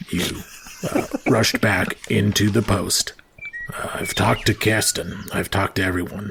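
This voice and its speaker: Doing a put-on character voice, a man speaks in a serious tone, very deep and low in pitch and raspy. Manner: trusting but wary, serious.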